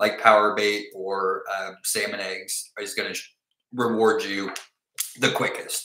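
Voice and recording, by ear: Audible room echo surrounds a man speaking at a fairly slow pace, his fairly low pitch showing little movement and his tone bright and sharp.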